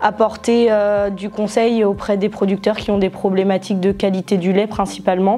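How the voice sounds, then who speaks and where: Her medium-pitched voice moves at a moderate pace with hardly any pauses, the woman's intonation flat and monotone. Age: 20s. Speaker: former agricultural student, dairy advisor. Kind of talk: testimony. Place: classroom.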